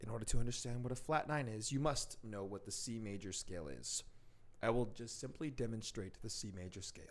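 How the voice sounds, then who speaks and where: A man's medium-pitched voice at a fairly quick pace, with ordinary pitch variation, big swings in loudness and audible room echo. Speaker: piano teacher. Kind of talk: tutorial. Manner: soft-spoken; playful.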